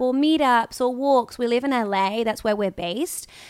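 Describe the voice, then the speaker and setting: Her high pitch shows ordinary pitch variation as the woman talks at a fairly quick pace. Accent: British. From UK. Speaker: podcast host, actress. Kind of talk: casual chat.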